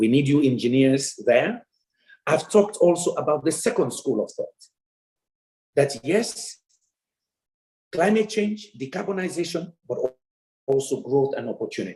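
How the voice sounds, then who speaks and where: A man's high voice with a dark, mellow tone, very wide pitch swings and a moderate pace. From Sierra Leone. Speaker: development economist. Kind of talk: keynote lecture.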